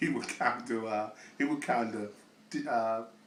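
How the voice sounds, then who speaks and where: A man is speaking. Audible echo fills the room. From US South, Little Rock, Arkansas. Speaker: interviewee telling life story. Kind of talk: oral history testimony. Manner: halting, many fillers.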